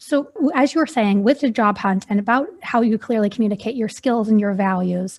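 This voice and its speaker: A woman talks at a fairly quick pace with hardly any pauses, her voice somewhat breathy and fairly high. Her loudness stays very even, and her pitch varies in an ordinary way. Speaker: podcast host. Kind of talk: interview. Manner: soft-spoken.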